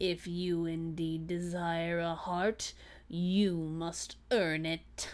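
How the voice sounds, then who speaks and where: A woman uses a put-on character voice at a fairly low pitch. She speaks very slowly in a monotone, flat intonation. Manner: gruff, low.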